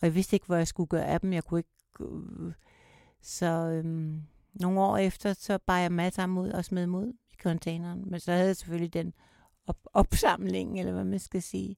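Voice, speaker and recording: Recorded dry and close with no echo, a woman speaks in a fairly low, dark and mellow voice with flat, monotone intonation. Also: moderate pace, very clean recording, silent background. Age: 60s. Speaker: survivor of domestic violence. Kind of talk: personal testimony in interview. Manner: halting, hesitant.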